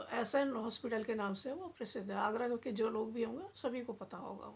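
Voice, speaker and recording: With a somewhat breathy, fairly high voice, a woman speaks with ordinary pitch variation. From India, Agra (Uttar Pradesh). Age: 60s. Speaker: devotional storyteller. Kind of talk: casual storytelling.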